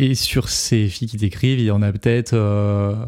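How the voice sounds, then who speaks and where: A man speaks at a very slow pace in a dark, mellow tone. The sound is dry and close, with no echo. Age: 30s. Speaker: musician and songwriter. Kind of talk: casual chat. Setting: recording studio.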